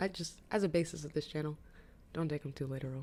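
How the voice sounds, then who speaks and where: A woman with a very deep, low pitch for a woman talks at a very fast pace in an animated tone. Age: 20s. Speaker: vlogger. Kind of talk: casual chat.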